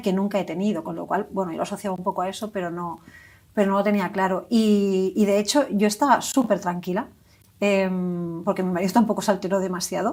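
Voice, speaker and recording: Speaking very fast at a medium pitch, a woman keeps her intonation fairly even on a very clean recording with a silent background. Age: 40s. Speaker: stroke survivor, hospital employee. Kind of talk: testimony. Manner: halting.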